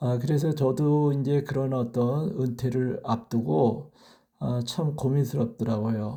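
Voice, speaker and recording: Very slowly and somewhat breathily, a man of medium pitch speaks in a dark, mellow tone with ordinary pitch variation. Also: very clean recording, silent background. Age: 60s. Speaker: retired teacher, vlogger. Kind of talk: personal vlog monologue. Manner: hesitant with many filler sounds; formal.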